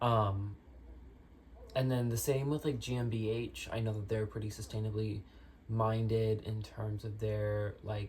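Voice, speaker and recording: The delivery is fairly slow, broken by long, frequent pauses. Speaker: fashion vlogger. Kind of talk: casual Q&A vlog. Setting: on a bed. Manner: casual, hesitant with fillers.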